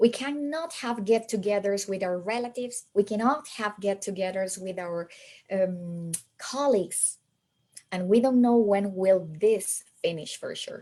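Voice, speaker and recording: A woman's dark, mellow voice at a medium pitch, with a slight American accent, ordinary pitch variation, a fairly slow pace, and big swings in loudness. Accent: slight American-like, non-native. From Peru. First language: Spanish. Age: 40s. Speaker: English teacher trainer. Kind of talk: webinar presentation. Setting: online webinar on a borrowed laptop.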